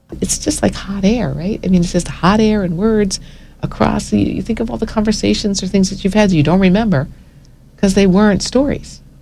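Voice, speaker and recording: Noticeable background noise sits behind the voice. The delivery is fairly quick. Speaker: storytelling program leader being interviewed. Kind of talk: radio interview answer.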